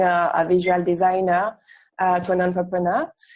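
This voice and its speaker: This woman speaks at a moderate pace with a French accent. Her medium-pitched voice has a dark, mellow tone. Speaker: UX designer and entrepreneur. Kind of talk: online workshop talk. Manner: hesitant, many fillers.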